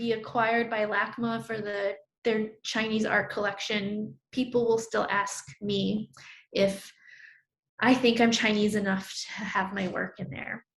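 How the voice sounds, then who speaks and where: Fairly even intonation runs through a woman's somewhat breathy voice. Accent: American. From New York (Brooklyn). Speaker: artist. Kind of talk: artist talk presenting own work. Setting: virtual talk. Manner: conversational with frequent fillers.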